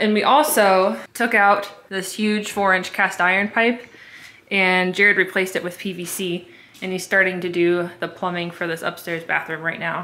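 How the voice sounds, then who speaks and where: With a bright, sharp tone, a woman speaks at a moderate pace and with ordinary pitch variation. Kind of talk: casual vlog chat. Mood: upbeat, motivated. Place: home room. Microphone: phone near.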